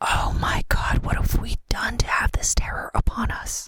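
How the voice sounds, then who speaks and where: A woman whispers in a put-on character voice at a moderate pace. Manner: anguished, crying out.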